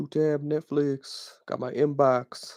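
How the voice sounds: This man uses a croaky, put-on character voice, fairly high for a man, speaking flat and monotone at a fairly slow pace in a dry, close sound with no echo.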